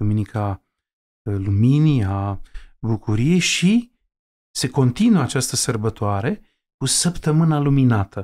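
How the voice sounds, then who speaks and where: His tone is dark and mellow. This man's pitch is medium. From Romanian mountain village. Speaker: Orthodox bishop. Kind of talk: interview. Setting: home library. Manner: halting, many fillers.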